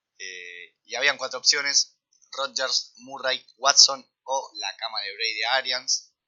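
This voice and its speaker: With a Rioplatense accent, a man speaks at a very slow pace, his loudness swinging widely. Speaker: sports podcast co-host. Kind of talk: casual chat.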